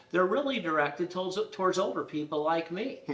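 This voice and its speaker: A man is heard with noticeable background noise. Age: 60s. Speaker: title insurance professional. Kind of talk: casual interview.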